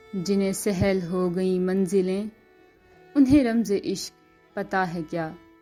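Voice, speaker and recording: A woman's voice with ordinary pitch variation over background music. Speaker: voice-over artist. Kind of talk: poetry reading.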